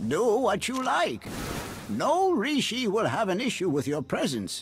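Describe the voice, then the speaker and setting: Here a man puts on a character voice. His pitch is high. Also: moderate pace. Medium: video game. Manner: calm, measured.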